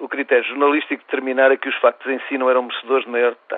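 A man with a European Portuguese accent, medium-pitched, at a very fast pace. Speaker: medical association leader. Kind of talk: reading aloud an opinion column. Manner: formal.

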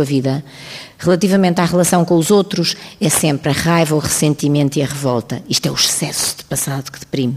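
Over noticeable background noise, a woman with a European Portuguese accent talks at a fairly quick pace in a very deep, low pitch with fairly even intonation. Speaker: talk show host. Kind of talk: panel discussion. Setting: stage with audience.

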